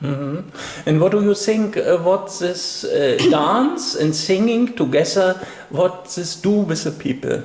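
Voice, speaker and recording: Against noticeable background noise, a man speaks fairly slowly in a high pitch with ordinary variation. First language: not English. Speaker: interviewer. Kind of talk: interview. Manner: halting.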